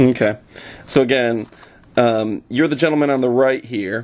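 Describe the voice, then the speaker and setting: Speaking at a moderate pace, the man has an unremarkable speaking voice. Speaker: interviewer. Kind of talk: casual interview questions.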